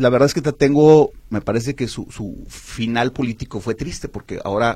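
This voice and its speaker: A man talks in a dark, mellow tone, somewhat breathy and medium in pitch. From Guadalajara, Mexico. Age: 50s. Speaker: politician, former mayor. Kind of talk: radio interview. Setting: radio studio.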